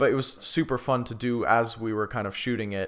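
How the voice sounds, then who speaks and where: Using a normal speaking voice, a man speaks at medium pitch with ordinary pitch variation on a very clean recording with a silent background. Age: 20s. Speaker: drummer. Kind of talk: interview.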